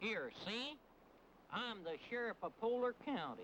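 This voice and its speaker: Putting on a character voice, a man drawls at a fairly slow pace with an extremely high pitch and lively intonation, over clear background noise. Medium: short film. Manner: folksy drawl, ungrammatical.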